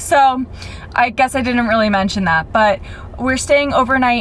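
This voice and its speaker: Noticeable background noise surrounds a woman with a high pitch who speaks with an American accent. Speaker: vlogger. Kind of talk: travel vlog to camera. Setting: in a car.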